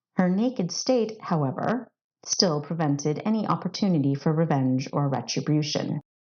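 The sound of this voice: This woman has a low pitch, a slightly mellow tone and lively intonation, speaking at a moderate pace.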